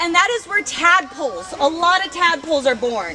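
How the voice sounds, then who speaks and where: With an American accent, a woman speaks in a raised, projected voice at an extremely high pitch with lively intonation, over noticeable background noise. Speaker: oral history speaker, landowner family member. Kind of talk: guided walk tour talk. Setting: outdoors.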